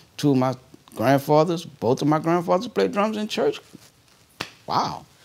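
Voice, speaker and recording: This man's voice sits fairly high and swings very widely in pitch at a moderate pace. Noticeable background noise runs underneath. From New Orleans, Lower Ninth Ward. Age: 50s. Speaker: jazz drummer. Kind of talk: oral history interview. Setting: indoors at a jazz venue.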